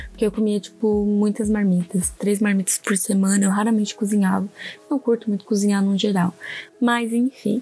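Noticeable background noise lies under speech with monotone, flat intonation. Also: woman, medium pitch for a woman, moderate pace, very even loudness. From southern Brazil, Santa Catarina (Orleans). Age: 20s. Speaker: podcast host, illustrator. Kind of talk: casual solo monologue.

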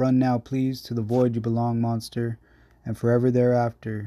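In a dark, mellow tone, a man speaks at medium pitch with monotone, flat intonation. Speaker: poet. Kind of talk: poetry reading. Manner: slow, dreamy, measured.

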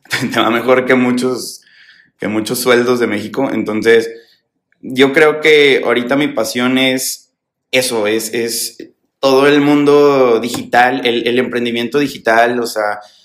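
Using an ordinary speaking voice, a man talks at a fairly slow pace in a medium pitch with fairly even intonation. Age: 20s. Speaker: entrepreneur, fashion brand founder. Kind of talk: casual interview chat. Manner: casual, slangy.

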